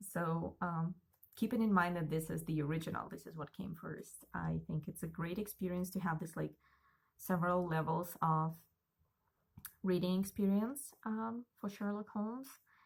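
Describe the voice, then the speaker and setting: A woman with a Russian accent speaks at a moderate pace in a somewhat breathy, fairly low voice with ordinary pitch variation. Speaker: book vlogger. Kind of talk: casual monologue.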